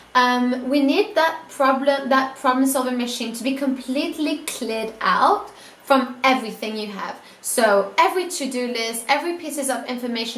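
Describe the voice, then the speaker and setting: A woman speaks in a high, animated voice. Audible room echo and noticeable background noise surround her. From Italy. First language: not English (English is third language). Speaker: student YouTuber giving productivity tips. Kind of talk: casual vlog tutorial. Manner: animated, casual with fillers.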